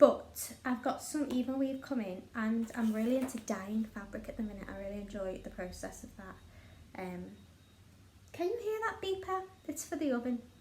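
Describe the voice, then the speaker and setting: Lively intonation in a Liverpool accent at a moderate pace, with big swings in loudness, noticeable background noise and audible room echo. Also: woman, high pitch for a woman. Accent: Scouse (Liverpool). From northern England, Liverpool. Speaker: craft vlogger. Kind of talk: casual chat.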